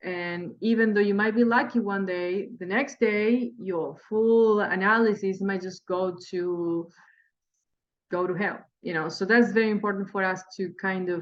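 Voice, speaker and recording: A woman with a medium-pitched voice talks at a moderate speed, her pitch shifting in an ordinary way. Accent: Spanish. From Spanish-speaking country. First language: Spanish. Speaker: day trader and trading teacher. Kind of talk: tutorial. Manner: halting.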